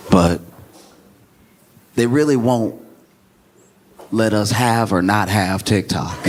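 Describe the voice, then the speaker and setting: The speaker goes at a fairly slow pace. The pitch varies in an ordinary way. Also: man. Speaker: stand-up comedian and podcast host. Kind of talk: stand-up comedy set, conversational.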